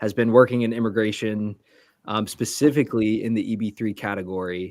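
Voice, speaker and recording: In a very clean recording with a silent background, a man with an American accent and medium pitch has an ordinary speaking voice. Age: 20s. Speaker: immigration consultant. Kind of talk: interview.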